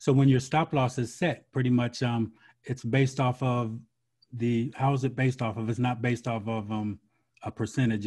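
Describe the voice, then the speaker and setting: Against a quiet background, a man talks at a moderate pace, somewhat breathy, with fairly even intonation. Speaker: podcast host. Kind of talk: interview. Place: home room. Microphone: video call.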